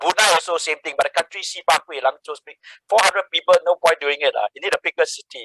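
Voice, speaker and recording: Speaking very fast, a man sounds animated. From Singapore. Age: 60s. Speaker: social entrepreneur. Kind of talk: guest talk.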